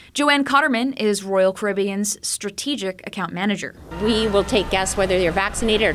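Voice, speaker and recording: Over music in the background, a woman talks at a moderate pace with lively intonation and a medium pitch. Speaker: news podcast host. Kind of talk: news reading, scripted broadcast bulletin. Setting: studio. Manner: crisp, even, brisk anchor delivery; formal, neutral, serious.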